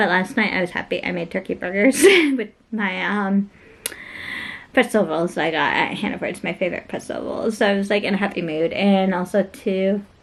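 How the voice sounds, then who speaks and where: An unremarkable speaking voice from a woman at medium pitch, with ordinary pitch variation and a moderate pace. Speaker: lifestyle vlogger. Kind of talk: casual vlog talk. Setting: at home.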